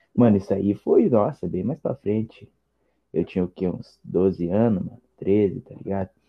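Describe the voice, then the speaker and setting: A man with an unremarkable speaking voice talks at a fairly slow pace and a fairly low pitch with ordinary variation. His loudness swings a lot. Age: young. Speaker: podcast guest, rap fan. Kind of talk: casual chat.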